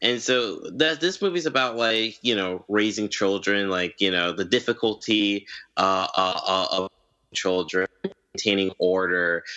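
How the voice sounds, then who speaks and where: Talking at a fairly slow pace, a man has a plain, everyday voice, fairly low in pitch with ordinary pitch variation. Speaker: film fan guest. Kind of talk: casual chat.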